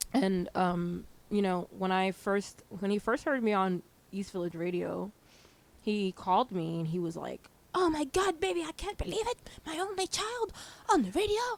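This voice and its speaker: A woman talks at a moderate pace with a New Jersey accent. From New Jersey, Hudson County (early childhood in Haiti). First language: Haitian Creole. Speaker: DJ and radio host. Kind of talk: casual chat. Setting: video interview.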